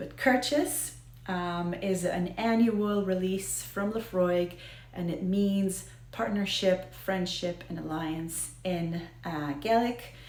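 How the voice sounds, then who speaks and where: Speaking at a very slow pace, a woman talks with an American accent. Room echo is audible. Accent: American Israeli. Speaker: whiskey video host. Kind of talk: casual educational talk to camera. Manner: hesitant, many fillers.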